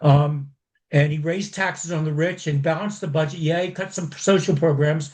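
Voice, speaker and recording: A man with an American accent is speaking. His voice is fairly high and his pace fairly quick. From US West Coast. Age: 60s. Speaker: caller. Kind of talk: casual chat. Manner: halting.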